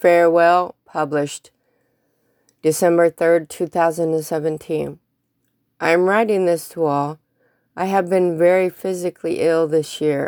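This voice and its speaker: Over a silent background in a very clean recording, a woman with an ordinary speaking voice talks at a fairly slow pace with fairly even intonation, the sound dry and close with no echo. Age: 50s. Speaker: blogger reading own posts. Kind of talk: reading aloud.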